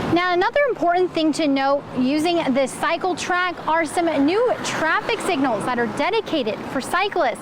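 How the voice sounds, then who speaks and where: A woman's extremely high voice with lively intonation, set against noticeable background noise. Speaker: TV news anchor and reporter. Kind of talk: TV news field report.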